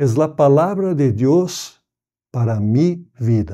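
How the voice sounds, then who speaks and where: A man with a non-native accent speaks very slowly in a dark, mellow, fairly high voice that swings very widely in pitch, over a quiet background. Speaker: pastor and Bible society director. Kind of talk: prepared message.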